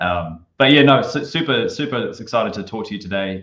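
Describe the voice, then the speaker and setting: With a New Zealand accent, a man talks at a fairly quick pace. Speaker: marketing consultant. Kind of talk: podcast interview.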